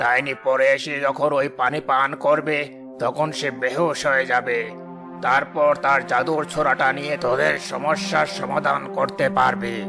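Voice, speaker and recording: A man speaks in a cartoonish character voice at a medium pitch and a fairly slow pace. Clear music plays in the background. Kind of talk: rural folk-tale sage, familiar address. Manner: stern, commanding.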